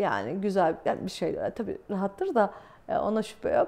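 The tone of this woman's voice is dark and mellow. She talks at a moderate pace. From Turkey. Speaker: exiled journalist, video blogger; journalist. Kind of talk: solo talk to camera, commentary; commentary. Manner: many hesitation fillers. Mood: calm, serious. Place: home room.

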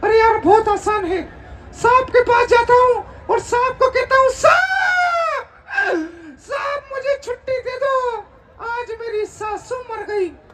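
A man shouts in a cartoonish character voice at an extremely high pitch. He goes at a fairly slow pace. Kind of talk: ventriloquist comic act. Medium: puppet show. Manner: cheeky, wisecracking.

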